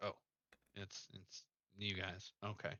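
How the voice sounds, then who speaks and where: A man adopts a put-on character voice with a fairly low pitch. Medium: actual play.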